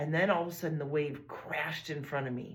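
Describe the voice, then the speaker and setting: A woman with an American accent talks at a moderate pace in a somewhat breathy voice with a warm tone. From Illinois, US. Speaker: podcast host. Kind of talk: podcast monologue. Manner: warm, reflective.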